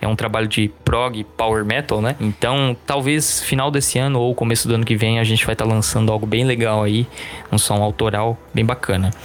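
A man speaks at a moderate pace with fairly even intonation. His loudness stays very even over noticeable background noise. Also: medium pitch for a man. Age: 20s. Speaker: heavy metal guitarist and music teacher. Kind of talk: casual interview.

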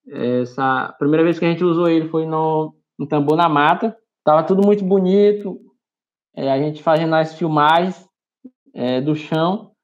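A man speaks with a high pitch. His pace is moderate and his pitch varies in an ordinary way. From Maranhão, Brazil. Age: 20s. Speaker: community journalist. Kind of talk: interview. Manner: hesitant, with frequent fillers.

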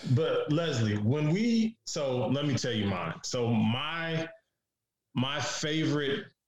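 A somewhat breathy man with an American accent, very slow in pace and with very wide pitch swings. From Detroit, US. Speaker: podcast host. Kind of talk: casual podcast chat.

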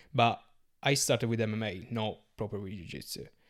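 A man talks at a fairly quick pace with an Italian accent. His fairly low voice carries vocal fry and ordinary pitch variation. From Sardinia, Italy. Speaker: BJJ competitor and nurse. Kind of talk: casual podcast interview. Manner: halting, searching for English words.

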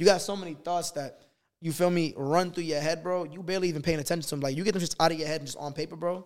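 Very fast and high-pitched, this man's speech keeps a fairly even intonation. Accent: American. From Boston. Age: 20s. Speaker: singer and songwriter. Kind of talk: casual chat.

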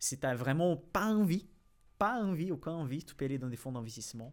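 On a very clean recording with a silent background, a man with a Brazilian accent talks at a moderate pace with lively intonation. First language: Portuguese (speaking French). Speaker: finance YouTuber and financial analyst. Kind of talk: casual interview.

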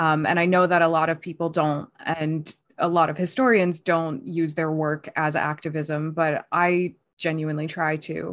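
Using an American accent, a woman with a very deep, low pitch talks at a moderate pace, in fairly even intonation, with hardly any pauses. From United States. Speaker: podcast co-host and PhD student. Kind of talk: casual chat.

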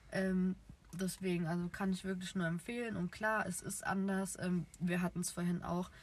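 At a moderate pace, the voice sounds somewhat breathy, with monotone, flat intonation and very even loudness. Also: woman, medium pitch for a woman. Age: 20s. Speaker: podcast co-host, nursery educator. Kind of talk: casual chat. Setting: in a car.

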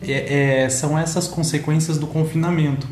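Speech at a fairly slow pace comes through noticeable background noise and audible room echo. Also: man. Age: 30s. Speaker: podcaster. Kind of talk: monologue podcast. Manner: occasional stumbling and hesitations.

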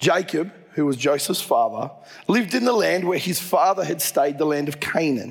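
With an Australian accent, a man talks at a moderate pace, his pitch high and his intonation lively. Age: 40s. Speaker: pastor. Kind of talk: sermon.

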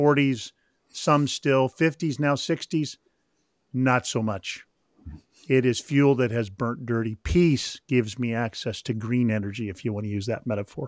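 A man with an ordinary speaking voice talks at a medium pitch with ordinary pitch variation, the sound dry and close with no echo on a very clean recording with a silent background. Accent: American. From Northern California. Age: 60s. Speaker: author and spiritual director. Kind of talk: interview.

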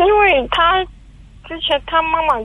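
A woman's voice with ordinary pitch variation. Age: 20s. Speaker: caller. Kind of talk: call-in advice conversation. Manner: halting, hesitant.

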